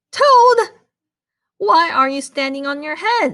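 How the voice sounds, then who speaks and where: A squeaky, put-on character voice with very wide pitch swings at a fairly slow pace. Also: woman, extremely high pitch for a woman. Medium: read story.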